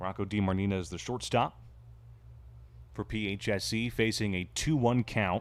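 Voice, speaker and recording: This man speaks at a moderate pace with lively intonation and a fairly low pitch. Long pauses come often, and the recording is very clean with a silent background. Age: 20s. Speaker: play-by-play commentator. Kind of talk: live sports commentary. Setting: ballpark with crowd.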